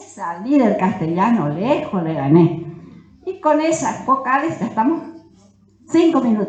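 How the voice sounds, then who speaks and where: With audible room echo and noticeable background noise, a woman's voice shows very wide pitch swings. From Corrientes, Argentina. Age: 80s+. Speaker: Guarani language teacher and author. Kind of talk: conference talk.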